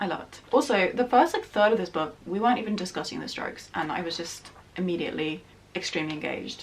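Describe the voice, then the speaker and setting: Over noticeable background noise, a medium-pitched woman talks at a very fast pace, her intonation lively and her loudness swinging widely. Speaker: book youtuber. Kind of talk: casual book review monologue. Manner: animated.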